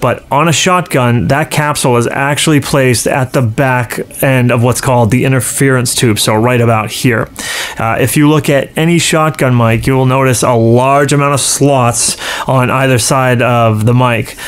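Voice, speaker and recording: The speech comes at a moderate pace, with fairly even intonation and very even loudness. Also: man. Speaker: presenter. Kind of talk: tutorial. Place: studio. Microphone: studio mic.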